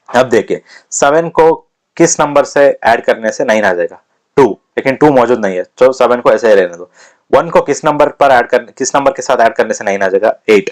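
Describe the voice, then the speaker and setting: The speaker is a man talking at a moderate pace. The sound is dry and close, with no echo. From India, Karnataka (Hassan district). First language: Kannada (speaking Hindi). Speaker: maths teacher for exam prep. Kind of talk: lecture; casual chat.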